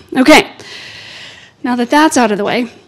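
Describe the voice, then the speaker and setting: A woman with an American accent speaks in a high pitch with fairly even intonation. Noticeable noise runs in the background. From United States. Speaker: legal scholar, invited lecturer. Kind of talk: lecture.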